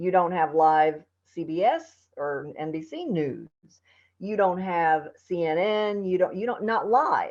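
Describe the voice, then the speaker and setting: A woman speaks at a very slow pace in a fairly low pitch, with ordinary pitch variation. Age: 60s. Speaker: TV news anchor. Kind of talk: casual chat. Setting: podcast interview.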